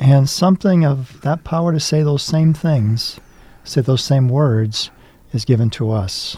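A man talks at a fairly slow pace with a somewhat breathy, dark, mellow tone, a fairly high pitch and ordinary pitch variation. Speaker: priest and chaplain. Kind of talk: casual chat. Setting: studio.

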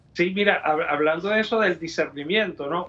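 A man talks with a Venezuelan accent at a high pitch. Noticeable background noise runs under his speech. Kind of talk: interview. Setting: studio. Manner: halting, with frequent repetitions.

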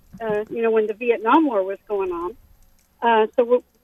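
A woman with a normal speaking voice and a fairly high pitch talks at a moderate pace in an American accent, with ordinary pitch variation. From Thailand (American school abroad). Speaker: caller. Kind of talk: call-in chat. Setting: phone call while driving.

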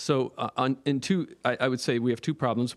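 A man's plain, everyday voice with a Canadian accent, medium pitch and ordinary pitch variation, on a very clean recording with a silent background. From Nova Scotia, Canada. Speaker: priest, audience member asking question. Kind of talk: audience question.

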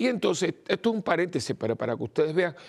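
Recorded dry and close with no echo at all, a man rattles off his words very fast.

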